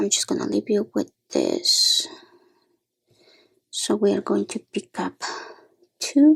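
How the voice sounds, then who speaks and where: In a dry, close recording with no echo, a soft-spoken woman talks very slowly, with long, frequent pauses. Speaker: beading tutorial maker. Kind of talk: tutorial.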